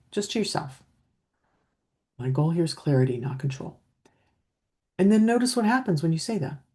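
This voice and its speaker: A woman's fairly low, somewhat breathy voice with a dark, mellow, calm tone, very wide pitch swings, a fairly quick pace and long, frequent pauses. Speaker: leadership coach. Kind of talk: coaching talk to camera. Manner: calm, steady.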